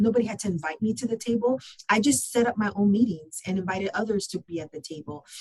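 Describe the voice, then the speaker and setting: At a very fast pace, a woman speaks at a medium pitch with ordinary pitch variation. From Southern California (San Gabriel Valley). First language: Spanish. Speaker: construction business process manager. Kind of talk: podcast interview.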